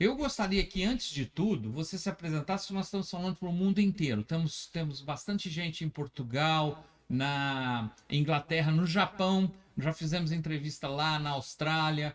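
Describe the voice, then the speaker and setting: Speaking at a moderate pace, a man with a fairly high pitch uses ordinary pitch variation. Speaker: web radio host. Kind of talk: casual interview chat. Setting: radio studio. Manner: halting, with many fillers.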